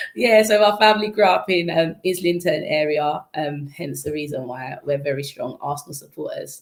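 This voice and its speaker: In a London accent, a woman with a very deep, low pitch talks at a moderate pace with lively intonation, big swings in loudness and hardly any pauses. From East London. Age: 20s. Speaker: former footballer and youth mentor. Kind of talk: interview.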